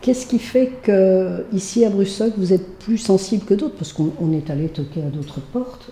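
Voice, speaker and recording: Noticeable background noise sits behind a woman speaking at a moderate pace. Her pitch is medium and her intonation lively. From Algeria. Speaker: association coordinator. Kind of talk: casual chat.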